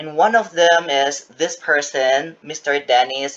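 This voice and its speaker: A man speaks with an Indonesian accent at a fairly slow pace, using a fairly high pitch and ordinary pitch variation. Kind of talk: interview.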